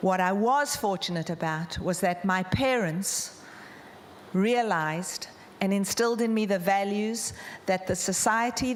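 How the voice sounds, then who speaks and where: This woman speaks in a South African accent. Her pitch is medium, with noticeable background noise. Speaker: charity founder. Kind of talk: conference talk.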